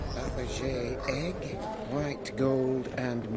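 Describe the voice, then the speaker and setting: A man performs a put-on character voice over loud background noise. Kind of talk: auctioneer's call. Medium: short film. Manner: brisk, formal.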